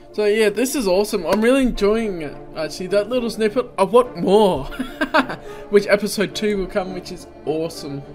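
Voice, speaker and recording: Over clear music in the background, a man with a high pitch and ordinary pitch variation talks at a fairly quick pace, with big swings in loudness. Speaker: reaction video host. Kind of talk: casual reaction commentary. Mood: enthusiastic, relaxed. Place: home room.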